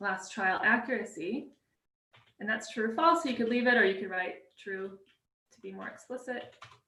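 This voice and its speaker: This woman has a bright, sharp tone and a fairly high pitch. Room echo can be heard in the recording. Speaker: workshop presenter. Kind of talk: live coding tutorial. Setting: live stream. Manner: fast; hesitant, many fillers.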